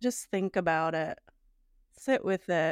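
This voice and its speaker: A woman with fairly low pitch and vocal fry speaks with lively intonation in a dry, close sound with no echo. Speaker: podcast co-host. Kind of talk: casual chat reviewing listener comments. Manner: casual, conversational.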